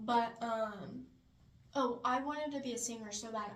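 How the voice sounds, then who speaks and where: The recording carries noticeable background noise and audible room echo. A woman talks at a moderate pace, her fairly high pitch held in fairly even intonation. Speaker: college student podcast co-host. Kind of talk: casual chat. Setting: small study room in library basement.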